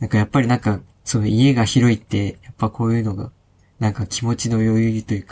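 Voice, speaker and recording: A man's medium-pitched voice, dark, mellow and somewhat breathy, at a fairly quick pace. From Hokkaido, Sapporo. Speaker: IT engineer. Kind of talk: casual chat.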